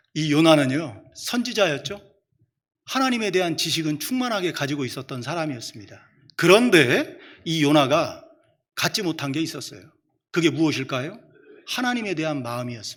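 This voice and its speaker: With long, frequent pauses, a man talks at a moderate pace in a fairly high pitch that moves in very wide swings. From Chungcheong, South Korea. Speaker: preacher. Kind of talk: sermon.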